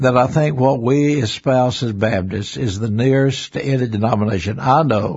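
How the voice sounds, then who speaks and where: Somewhat breathy, a man speaks with a Southern US accent at a moderate pace and ordinary pitch variation. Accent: US South. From Alabama. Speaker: retired pastor. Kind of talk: interview. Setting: studio.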